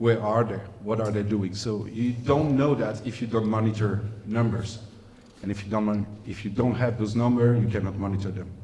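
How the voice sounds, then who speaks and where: A man with a non-native accent speaks at a moderate pace in a flat monotone, with audible room echo. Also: fairly low pitch for a man. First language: not English. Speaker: humanitarian inclusion specialist. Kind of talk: lecture.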